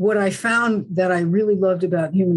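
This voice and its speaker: A woman with an American accent, fairly low in pitch and somewhat breathy, at a moderate pace. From New Jersey. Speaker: acupuncturist and human design coach. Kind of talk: interview.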